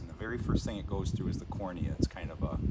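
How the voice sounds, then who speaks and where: There is noticeable background noise. A man speaks through it. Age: 60s. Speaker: blind vlogger with inherited retinal disease. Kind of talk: casual explanatory talk.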